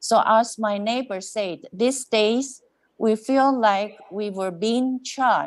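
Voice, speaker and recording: A woman speaks at a very slow pace with a non-native accent, her fairly high voice keeping a fairly even intonation. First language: not English. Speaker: resident delegate at council meeting. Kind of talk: public comment statement.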